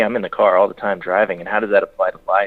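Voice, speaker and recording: The speaker is a man with an American accent. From California, San Diego. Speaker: country singer-songwriter. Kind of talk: radio interview. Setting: phone call. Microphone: phone line.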